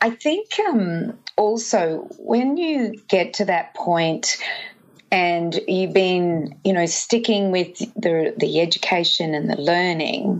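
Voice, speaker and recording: A woman talks at a very slow pace with an Australian accent. Her medium-pitched voice has lively intonation over noticeable background noise. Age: 50s. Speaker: nutritionist. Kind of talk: interview.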